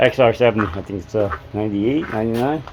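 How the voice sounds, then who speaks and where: The speaker is a man with a fairly low pitch. His pace is moderate. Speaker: DIY motorcycle mechanic YouTuber. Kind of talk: casual workshop talk to camera. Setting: open garage. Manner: halting, many fillers.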